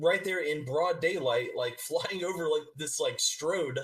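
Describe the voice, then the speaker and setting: Moderately paced speech from a man, amid noticeable background noise. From Georgia, USA. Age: 30s. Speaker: army veteran. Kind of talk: interview answer. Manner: hesitant.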